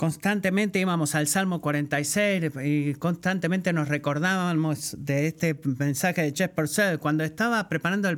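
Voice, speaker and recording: The pace is fairly slow, with ordinary pitch variation. The recording is very clean, with a silent background. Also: man. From Puerto Rico. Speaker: guest preacher. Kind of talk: sermon.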